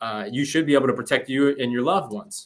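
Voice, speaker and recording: A man with a plain, everyday voice talks fairly quickly at a medium pitch with ordinary pitch variation. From Uzbekistan, moved to US as a child in 2001. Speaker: political talk show guest. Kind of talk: casual interview conversation.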